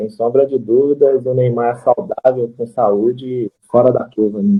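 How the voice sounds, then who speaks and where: A man talks at a medium pitch and a moderate pace. His pitch variation is ordinary. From Minas Gerais, Brazil. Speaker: amateur footballer, former youth player. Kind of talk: casual interview. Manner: hesitant, many fillers.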